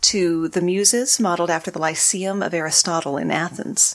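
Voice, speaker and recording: This woman has an American accent and a medium pitch. She speaks at a moderate pace. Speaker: podcast host and guest. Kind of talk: casual interview chat.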